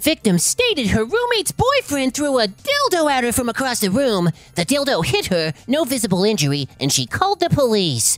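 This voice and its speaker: A put-on character voice with a stern tone and fairly high pitch moves at a moderate pace with hardly any pauses. Faint music plays in the background. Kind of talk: comic story reading. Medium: read story. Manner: forced stern tone, easily flustered.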